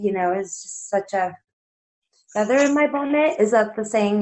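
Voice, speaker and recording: Using a normal speaking voice, the woman talks with medium pitch, ordinary pitch variation and a moderate pace. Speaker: filmmaker. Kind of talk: casual chat. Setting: video call.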